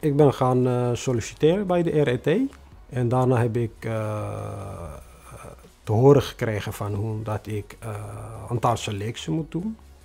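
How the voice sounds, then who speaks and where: Speaking at a fairly slow pace with a non-native accent, a man has a dark, mellow tone that is somewhat breathy. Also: medium pitch for a man, ordinary pitch variation. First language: not Dutch (speaking Dutch). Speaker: newcomer refugee, bus driver. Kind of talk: interview testimony. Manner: halting, many hesitations.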